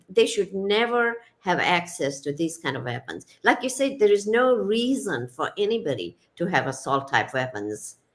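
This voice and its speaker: With very wide pitch swings around a medium pitch, a woman talks at a moderate pace with vocal fry. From Kenya. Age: 60s. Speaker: retired psychiatrist and author. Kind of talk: interview. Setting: radio show.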